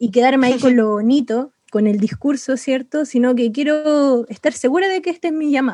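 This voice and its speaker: Speaking at a fairly quick pace with a Chilean accent, the woman has a high pitch. Her tone is dark and mellow, with ordinary pitch variation. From Chile, Santiago (San Bernardo). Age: 20s. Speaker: missionary. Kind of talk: interview testimony.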